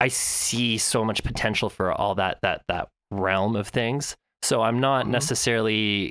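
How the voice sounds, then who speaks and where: The intonation is fairly even and the loudness very even. The pace is moderate. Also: man, medium pitch for a man. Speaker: podcast co-host. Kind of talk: casual chat. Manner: halting.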